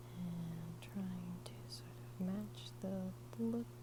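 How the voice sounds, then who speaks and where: A woman's very deep, low voice with an American accent at a very slow pace, over noticeable background noise. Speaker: artist, drawing teacher. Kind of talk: ASMR drawing tutorial, casual instructional talk.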